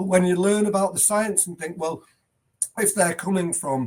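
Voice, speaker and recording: In an English accent, a man speaks at a high pitch. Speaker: headteacher. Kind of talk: podcast interview.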